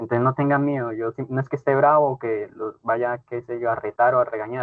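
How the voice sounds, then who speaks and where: A man with a Santander Colombian accent, medium pitch, ordinary pitch variation, and a fairly quick pace. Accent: Santander Colombian accent, brusque-sounding. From Colombia, Cúcuta (Santander region). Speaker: teacher. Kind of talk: online class. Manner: brusque-sounding.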